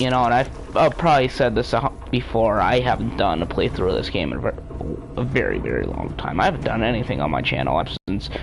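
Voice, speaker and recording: Words come out at a very fast pace while noticeable noise sounds in the background. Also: man. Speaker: gaming streamer. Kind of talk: live gameplay commentary. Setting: live stream. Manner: loud; halting.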